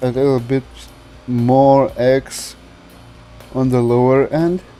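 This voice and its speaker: With music in the background, a man with a non-native accent speaks at a very slow pace and with fairly even intonation. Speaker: game modding YouTuber. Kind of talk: modding tutorial narration.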